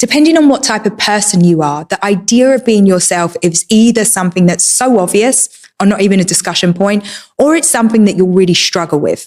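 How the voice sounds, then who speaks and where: A woman with a Cockney accent speaks at a fairly quick pace in a medium pitch, her intonation lively. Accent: Cockney, kept. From England, East London. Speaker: entrepreneur. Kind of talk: personal talk.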